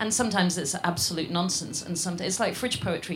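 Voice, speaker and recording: Against noticeable background noise, a woman talks very fast at a fairly low pitch. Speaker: columnist and film writer. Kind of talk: panel discussion.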